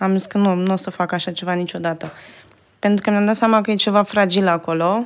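Delivered in a monotone, flat intonation, the speech runs at a very fast pace. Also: woman, medium pitch for a woman. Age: 30s. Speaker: video editor. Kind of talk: interview. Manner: halting.

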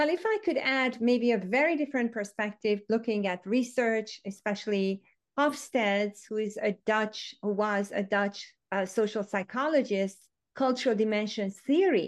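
In a quiet background, a woman with a Hungarian accent speaks at a moderate pace with a fairly high pitch and ordinary pitch variation. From Hungary. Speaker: education author and former teacher. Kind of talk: casual interview conversation.

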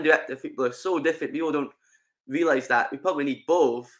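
On a very clean recording with a silent background, a man with a Scottish accent speaks at a fairly high pitch with ordinary pitch variation. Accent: Scottish (Ayrshire). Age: 20s. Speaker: football fan podcast guest. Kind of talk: casual chat. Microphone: sound had been crackly, now better.

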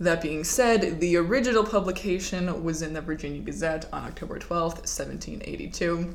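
A woman's voice with noticeable background noise. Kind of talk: casual chat.

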